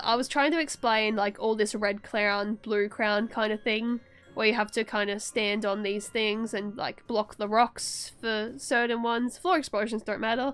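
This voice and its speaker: A woman's fairly high voice comes through while music plays behind her. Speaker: vtuber streamer. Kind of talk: tutorial. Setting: live stream. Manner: fast; halting.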